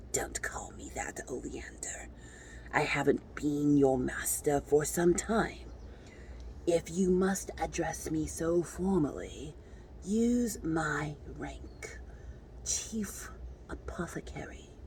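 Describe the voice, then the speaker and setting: The speaker puts on a raspy character voice and moves at a very slow pace, leaving long, frequent pauses. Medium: read story. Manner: cold, clinical, detached.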